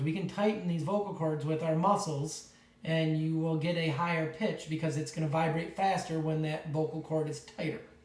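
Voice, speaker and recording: Amid noticeable background noise and audible room echo, a man talks at a fairly high pitch. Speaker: teacher. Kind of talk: lecture.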